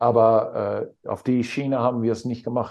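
Against a quiet background, a man with a dark, mellow tone speaks at a medium pitch and moderate pace. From Netherlands. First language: Dutch (speaking German). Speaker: basketball coach. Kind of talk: interview. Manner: halting.

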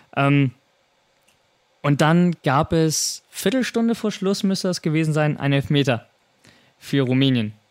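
A man with a fairly high pitch speaks with lively intonation and very even loudness. He goes at a fairly slow pace with long, frequent pauses. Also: dry, close sound with no echo. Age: 20s. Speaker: podcast host. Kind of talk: casual chat.

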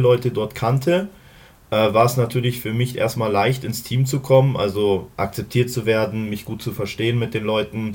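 This man's voice sounds somewhat breathy. His pitch varies in an ordinary way. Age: 30s. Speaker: American football player. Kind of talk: casual interview.

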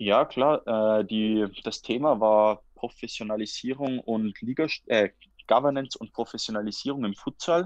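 A man's medium-pitched voice at a fairly slow pace, ordinary pitch variation, and a dry, close sound with no echo. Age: 20s. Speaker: futsal player and master's student. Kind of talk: casual interview. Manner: halting, with repetitions and fillers.

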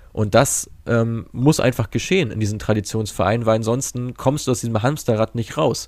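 A man with an ordinary speaking voice, medium pitch and ordinary pitch variation, at a moderate pace with hardly any pauses, in a very clean recording with a silent background. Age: 20s. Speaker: football data analyst and startup founder. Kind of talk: interview.

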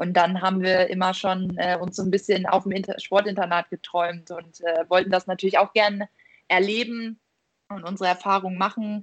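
The woman's pitch is medium. She speaks in a monotone, flat way. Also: moderate pace. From northern Germany, Buxtehude. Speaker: professional handball player. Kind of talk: interview. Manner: hesitant, many fillers.

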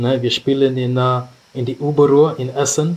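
The speech is fairly slow and somewhat breathy, with monotone, flat intonation. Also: man. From Kenya, Nairobi. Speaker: rugby player. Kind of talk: casual chat.

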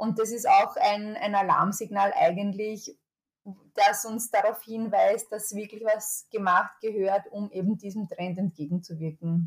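A somewhat breathy voice at a fairly slow pace, with fairly even intonation. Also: woman, medium pitch for a woman. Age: 30s. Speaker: public health officer. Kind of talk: interview. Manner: halting, with fillers and repeated words.

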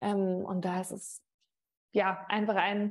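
This woman's medium-pitched voice proceeds at a moderate pace. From Mainz area, Rhineland-Palatinate, moved often. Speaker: sports TV presenter. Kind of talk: interview.

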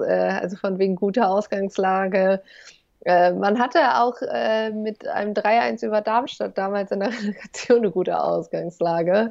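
A woman at a medium pitch, speaking at a moderate pace. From Germany, East Westphalia. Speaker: football podcaster, fan. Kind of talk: casual chat. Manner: halting, many fillers.

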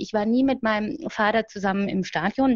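Somewhat breathy, the speech runs at a fairly quick pace. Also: woman. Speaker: grief counselor and fanzine editor. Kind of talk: interview.

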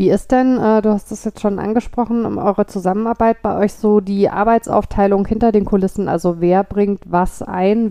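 Flat, monotone delivery from a woman at medium pitch, moderate in pace with hardly any pauses. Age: 40s. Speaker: podcast host. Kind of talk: interview. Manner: halting, many fillers.

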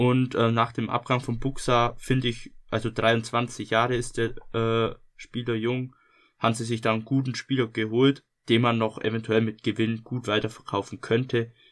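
The delivery is monotone and flat, captured in a very clean recording with a silent background. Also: man, medium pitch for a man, moderate pace. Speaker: podcast co-host. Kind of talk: casual chat.

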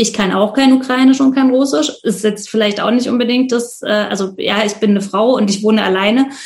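A woman's somewhat breathy, fairly high-pitched voice at a fairly quick pace, with fairly even intonation. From Leipzig, Saxony, eastern Germany. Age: 30s. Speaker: volunteer host of refugees. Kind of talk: interview.

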